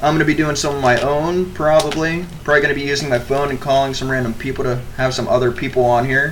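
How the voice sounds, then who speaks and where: Over noticeable background noise and audible room echo, a man talks at a very fast pace with hardly any pauses. His voice is fairly high for a man. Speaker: podcast co-host. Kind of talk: casual chat. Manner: animated.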